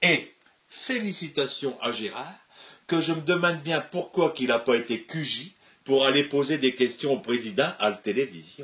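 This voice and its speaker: At a fairly slow pace, a man with a fairly high pitch speaks with lively intonation. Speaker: comedian. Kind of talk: comic sketch dialogue.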